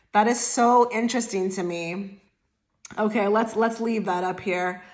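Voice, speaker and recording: Audible room echo around a woman at medium pitch, speaking at a fairly slow pace with ordinary pitch variation. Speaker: tarot reader. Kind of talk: tarot reading to camera. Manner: stutters over words; casual, filler-heavy.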